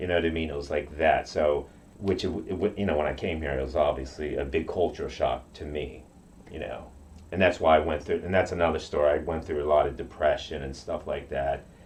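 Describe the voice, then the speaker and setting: The speaker talks at a fairly quick pace, with vocal fry and fairly even intonation. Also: man, very deep, low pitch for a man. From Okinawa, Japan. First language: Japanese. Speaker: karate practitioner. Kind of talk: interview. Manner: halting.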